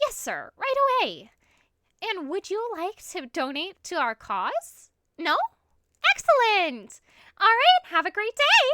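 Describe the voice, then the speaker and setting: A woman uses a put-on character voice at an extremely high, strained pitch with very wide pitch swings. She goes at a fairly slow pace with long, frequent pauses. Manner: overly polite, strained.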